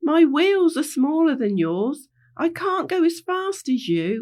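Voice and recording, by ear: A woman's put-on character voice, high-pitched and slow, with big pitch swings and a slightly mellow tone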